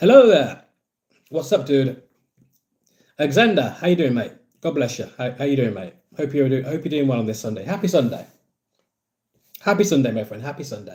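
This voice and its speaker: A man with a fairly high pitch talks at a fairly quick pace with lively intonation and a somewhat breathy voice. His loudness swings widely, and he leaves long, frequent pauses. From English Midlands, Birmingham. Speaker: football fan livestreamer. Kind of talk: live stream chat with viewers. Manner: casual, repetitive.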